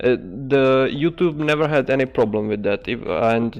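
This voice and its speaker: Over music in the background, a man with a Czech accent speaks with ordinary pitch variation. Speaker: ant-keeping streamer. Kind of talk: casual chat. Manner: halting.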